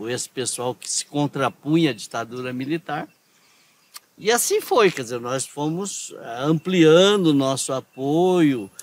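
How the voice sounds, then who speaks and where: A man speaks in a plain, everyday voice at a fairly slow pace. His fairly high pitch carries lively intonation. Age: 60s. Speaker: former union leader and activist. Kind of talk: interview. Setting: outdoors in a town square.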